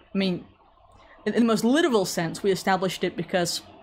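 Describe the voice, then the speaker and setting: Speaking in an American accent, a woman holds a medium pitch that varies in an ordinary way. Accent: English with slight American tinge. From England. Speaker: online commentator. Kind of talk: live social stream with chat. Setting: online livestream. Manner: conversational, informal.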